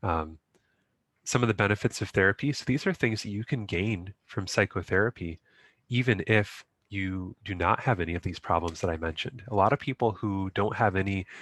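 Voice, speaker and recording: A man speaks at a fairly quick pace with a fairly low pitch and ordinary pitch variation. The sound is dry and close with no echo, on a very clean recording with a silent background. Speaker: grief support facilitator. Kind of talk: recorded talk summarizing a support group. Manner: fast.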